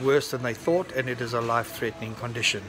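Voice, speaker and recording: A man's voice at medium pitch, with music in the background. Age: 60s. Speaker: vlogger. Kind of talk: casual vlog narration.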